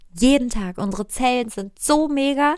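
A woman speaks in an animated tone with ordinary pitch variation. The recording is very clean, the background silent. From Germany, Cologne area. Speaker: podcast host, sugar-free coach. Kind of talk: casual monologue. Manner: halting.

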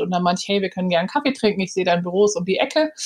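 A woman's pitch varies in an ordinary way while noticeable background noise plays behind her. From Hamburg, Germany. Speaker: PR agency founder. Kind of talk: podcast interview.

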